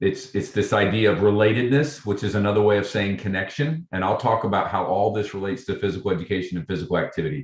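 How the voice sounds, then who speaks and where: This man talks at a very fast pace with hardly any pauses and a fairly low pitch. His intonation is lively, and the background is quiet. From Kentucky. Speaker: physical education professor. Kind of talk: lecture. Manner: loud.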